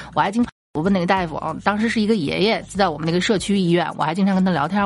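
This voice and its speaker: The speaker is a woman. Her pitch lands in the medium range. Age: middle-aged. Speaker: comedy podcast host. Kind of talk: casual storytelling monologue.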